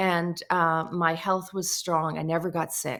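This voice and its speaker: A woman speaks at a moderate pace in a bright, sharp tone. The recording is very clean with a silent background. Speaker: energy healer and hypnotherapist. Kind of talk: podcast interview conversation.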